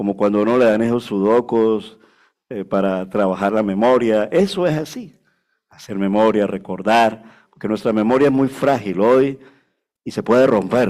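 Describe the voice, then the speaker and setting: A man's normal speaking voice, medium in pitch and moderate in pace, on a very clean recording with a silent background. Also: ordinary pitch variation. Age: 60s. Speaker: pastor. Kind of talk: sermon. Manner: conversational, frequent filler 'vale'.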